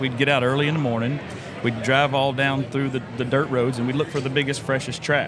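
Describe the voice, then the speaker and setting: Someone with a Southern US accent speaks with fairly even intonation amid audible room echo and noticeable background noise. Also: man. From Florida (Brooksville). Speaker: podcast host. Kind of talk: casual chat. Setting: convention show floor.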